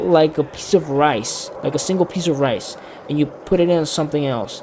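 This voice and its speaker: At a moderate pace and a fairly high pitch, a man speaks over noticeable background noise. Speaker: YouTuber telling a personal story. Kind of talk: casual storytelling vlog. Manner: halting, many fillers and self-corrections.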